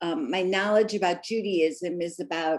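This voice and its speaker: With an American accent, a woman of medium pitch talks at a moderate pace with ordinary pitch variation. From US Midwest, Missouri. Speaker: art museum docent, presenter. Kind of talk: lecture.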